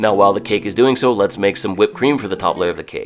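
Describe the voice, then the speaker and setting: A man's upbeat tone over music in the background. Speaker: home cook. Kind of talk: cooking video voice-over. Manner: casual, upbeat.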